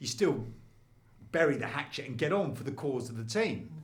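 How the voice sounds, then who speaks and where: A man with a southern English accent talks at a moderate pace in a medium pitch, sounding somewhat breathy. There is audible echo from the room. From London. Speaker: former sports reporter, lecturer. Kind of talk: podcast interview. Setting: studio. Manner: animated.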